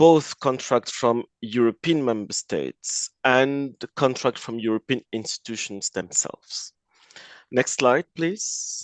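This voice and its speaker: Someone with a French accent speaks at a very slow pace with ordinary pitch variation. The sound is dry and close, with no echo. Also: man, medium pitch for a man. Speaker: lawyer. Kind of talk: webinar presentation. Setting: online webinar. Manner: halting, with fillers.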